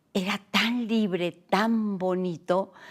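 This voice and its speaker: A woman keeps her intonation fairly even in a very clean recording against a silent background. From Mexico City (arrived from Morocco aged 2). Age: 80s+. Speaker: poet. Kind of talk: interview. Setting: at home.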